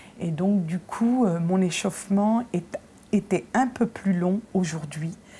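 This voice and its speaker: Speaking very slowly, a woman at a medium pitch has a dark, mellow, somewhat breathy tone and ordinary pitch variation. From Paris suburbs, Nanterre. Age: 50s. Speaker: opera singer. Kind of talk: casual chat.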